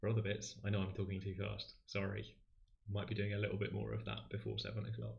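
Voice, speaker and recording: A somewhat breathy voice moves at a fairly quick pace with audible room echo. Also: man. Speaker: maths livestream host and tutor. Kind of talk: livestream maths tutorial. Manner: fast.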